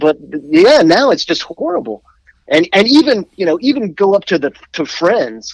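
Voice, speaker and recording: This man talks at a moderate pace with an American accent and a high pitch. His pitch swings very widely, and the sound is dry and close with no echo. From Washington D.C. area. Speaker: musician. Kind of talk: casual chat.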